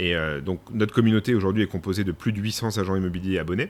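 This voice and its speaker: Talking at a fairly quick pace, a man uses a very deep, low pitch. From Paris region, France. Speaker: company president. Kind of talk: interview. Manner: hesitant, many fillers.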